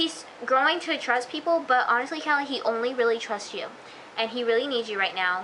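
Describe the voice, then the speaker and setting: Over noticeable background noise, a woman speaks in a raised, projected voice, high-pitched and with lively intonation. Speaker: TV show reviewer. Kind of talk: casual video review. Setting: self-recorded on camera. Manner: hesitant, many fillers; fast.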